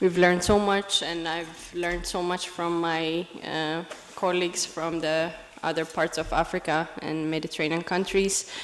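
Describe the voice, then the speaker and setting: A woman talks at a moderate pace in a fairly low pitch with monotone, flat intonation. Noticeable background noise runs underneath. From Ethiopia. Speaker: women leader, program participant. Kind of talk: public speech. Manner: hesitant, unprepared.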